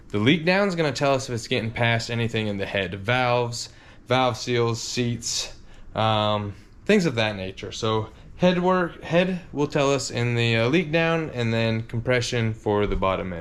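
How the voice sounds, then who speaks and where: With lively intonation at a fairly slow pace, a man talks at a medium pitch amid audible room echo. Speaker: car mechanic and video host. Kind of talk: workshop vlog tutorial. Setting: home garage. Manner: casual, filler-heavy.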